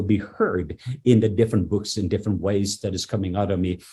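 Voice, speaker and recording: Somewhat breathy, a man speaks in a fairly low pitch with ordinary pitch variation. His tone is dark and mellow. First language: not English. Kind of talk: podcast interview testimony. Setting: in his office. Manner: halting, with fillers and repetitions.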